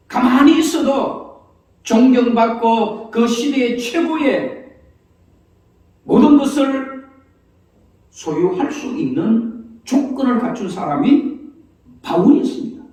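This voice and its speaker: Amid audible room echo, a man talks at a very slow pace with long, frequent pauses, his extremely high pitch showing ordinary variation. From Gyeongsang province, South Korea. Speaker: pastor. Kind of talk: sermon. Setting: church.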